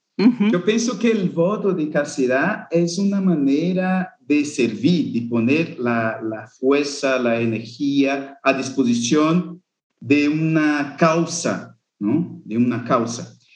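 A man with a Portuguese accent talks at a very slow pace. His voice is fairly high, with lively intonation. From Brazil, northeast. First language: Portuguese (speaking Spanish). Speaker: Jesuit brother, youth vocations coordinator. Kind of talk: interview conversation.

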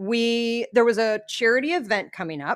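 At a fairly slow pace, a woman speaks in a fairly high pitch in a very clean recording with a silent background. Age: 40s. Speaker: podcast co-host. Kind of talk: casual chat. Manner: laughs often.

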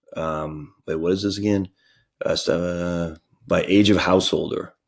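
A loud, very deep, low male voice at a fairly slow pace, with ordinary pitch variation, on a very clean recording with a silent background. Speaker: financial planner and podcast host. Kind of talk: screen-share tutorial. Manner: enthusiastic, casual.

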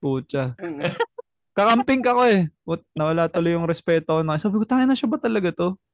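The pitch swings very widely while loudness stays very even. Delivery is fairly quick, in a dry, close sound with no echo. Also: man, high pitch for a man. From Philippines. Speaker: podcast host. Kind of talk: casual chat. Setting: video call.

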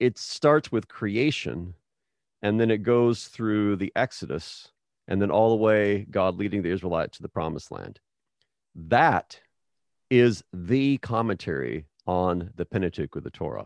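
A normal speaking voice with an American accent, lively intonation and a fairly slow pace, dry and close with no echo, over a quiet background. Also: man, fairly low pitch for a man. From Texas and New Mexico. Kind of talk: casual interview.

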